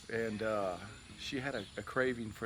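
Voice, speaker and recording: At a moderate pace, a man speaks at a medium pitch with ordinary pitch variation. There is audible room echo and noticeable background noise. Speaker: YouTuber, cigar reviewer. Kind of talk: casual storytelling. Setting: outdoors, backyard. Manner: loud.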